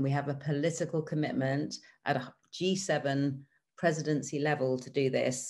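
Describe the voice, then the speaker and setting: A woman with a British accent and a very deep, low pitch speaks at a moderate pace with fairly even intonation over a quiet background. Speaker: government development official. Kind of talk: panel presentation. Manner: hesitant fillers.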